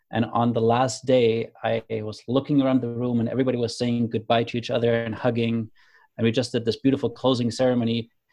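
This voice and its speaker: A man's very fast voice at medium pitch, dark and mellow in tone, with a German accent and a monotone, flat delivery. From Germany. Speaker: creator of a conversation card deck. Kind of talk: casual interview conversation.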